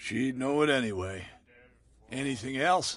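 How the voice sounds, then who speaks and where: A man's raspy, put-on character voice at a medium pitch, moderate in pace with ordinary pitch variation. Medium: video game. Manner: gruff, guarded.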